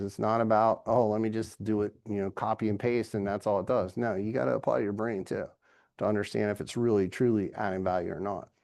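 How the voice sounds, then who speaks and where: Against a quiet background, a man with an American accent and an unremarkable speaking voice talks at a fairly quick pace, medium in pitch with ordinary variation. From Virginia, US. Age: 50s. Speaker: business executive guest speaker. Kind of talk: lecture. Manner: casual.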